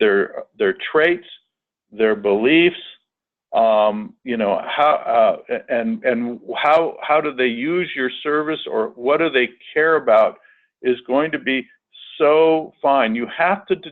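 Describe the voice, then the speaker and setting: A man talks at a very slow pace in a fairly high pitch. His intonation is lively. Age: 60s. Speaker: public media general manager, webinar presenter. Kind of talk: webinar presentation. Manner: halting, many repeated words and fillers.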